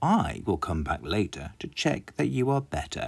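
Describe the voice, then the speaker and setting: In a put-on character voice, a man speaks at a moderate pace with a fairly low pitch. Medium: read story. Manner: calm, kindly.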